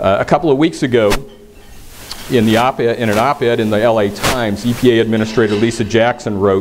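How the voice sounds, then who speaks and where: Noticeable background noise sits behind a man with a medium pitch. He keeps a moderate pace and fairly even intonation. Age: 60s. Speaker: government environmental official. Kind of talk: conference speech. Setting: stage with audience. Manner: hesitant, many fillers and repeats.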